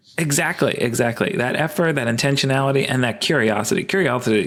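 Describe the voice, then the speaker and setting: A man with a fairly high pitch and lively intonation at a very fast pace, with noticeable background noise. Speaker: evolutionary biologist and sex researcher. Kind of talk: podcast interview. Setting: at home, remote call. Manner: hesitant, many fillers.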